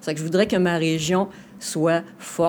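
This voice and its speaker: A woman talks in a dark, mellow tone. Her pitch sits fairly low. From Quebec City region. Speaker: political candidate. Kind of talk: interview. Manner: halting.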